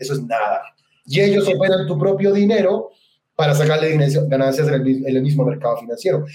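In a room with audible echo, a man with a fairly high pitch talks at a fairly quick pace, his intonation lively and his loudness very even. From central Chile. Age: 30s. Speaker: crypto investor and network marketer. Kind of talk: interview.

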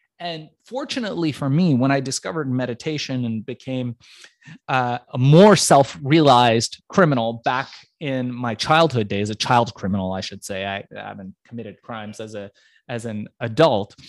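A man talks at a moderate pace in an unremarkable speaking voice, pitched in the middle range. His pitch moves an ordinary amount while his loudness swings widely. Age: 40s. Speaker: entrepreneur. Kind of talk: interview.

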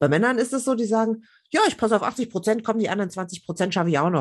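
A plain, everyday voice rises and falls with lively intonation. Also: woman, quiet background. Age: 40s. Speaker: journalist and women's network founder. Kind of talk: casual interview.

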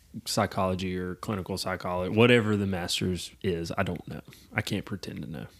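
A man with a very deep, low pitch talks at a fairly quick pace with fairly even intonation and big swings in loudness, on a very clean recording with a silent background. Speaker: podcast co-host; clinician. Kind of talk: casual chat.

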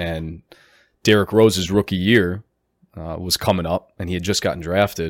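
Speaking at a moderate pace with an American accent, a man delivers his words in a very deep, low voice and a flat monotone, captured in a very clean recording against a silent background. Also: dry, close sound with no echo. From Chicago area. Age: 20s. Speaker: basketball coach. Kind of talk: casual interview. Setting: studio.

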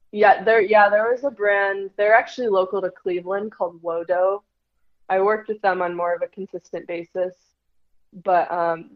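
At a moderate pace, a woman speaks at medium pitch with monotone, flat intonation. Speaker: TikTok creator and former athlete. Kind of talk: casual interview chat.

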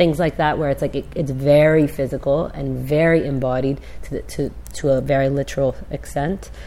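A woman speaking at a moderate pace over noticeable background noise. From Canada. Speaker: podcast co-host, writer and artist. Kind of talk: casual chat.

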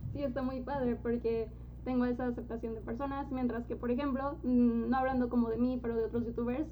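A woman's high-pitched voice with a dark, mellow tone and fairly even intonation, in audible room echo. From Mexico, Guadalajara. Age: young. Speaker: YouTuber. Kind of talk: casual interview chat.

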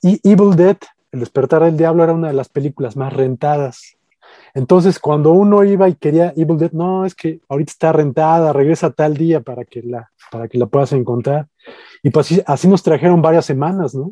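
Recorded with a dry, close sound and no echo, a man with a fairly high pitch and a dark, mellow tone speaks at a fairly quick pace with ordinary pitch variation. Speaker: podcast co-host, horror film critic. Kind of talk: casual chat. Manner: halting, many fillers.

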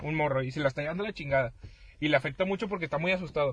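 Fairly high male speech with ordinary variation in pitch. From Mexico. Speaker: podcast co-host. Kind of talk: casual chat.

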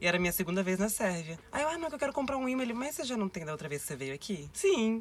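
A woman speaks at a very fast pace in a medium pitch, her voice making very wide pitch swings. Noticeable background noise runs behind her. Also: hardly any pauses. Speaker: backpacker, magnet collector. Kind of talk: casual chat.

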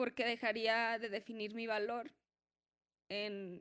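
Her pitch sits fairly high for a woman. The intonation is monotone and flat. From Mexico, Guadalajara. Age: 30s. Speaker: entrepreneur, workshop participant. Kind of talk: personal testimony in a live workshop.

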